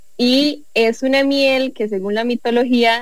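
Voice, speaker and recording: A woman's fairly high, fairly evenly intoned, unremarkable speaking voice. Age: 20s. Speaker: entrepreneur, honey producer. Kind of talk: casual chat.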